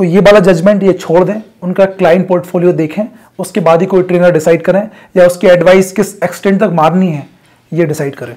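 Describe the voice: With a high pitch and a slightly mellow tone, a man reads at a fairly quick pace with few pauses and fairly even intonation.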